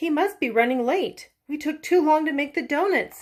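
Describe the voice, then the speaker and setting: Putting on a squeaky character voice, a woman speaks high-pitched at a moderate pace with lively intonation. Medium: read story. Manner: friendly, bustling.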